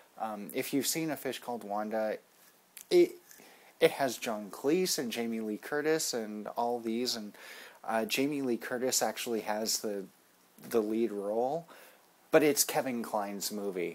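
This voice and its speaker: A man talks with ordinary pitch variation. Long, frequent pauses break up his speech. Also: fairly slow pace. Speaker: amateur film reviewer. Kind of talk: casual vlog review. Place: home room. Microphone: webcam.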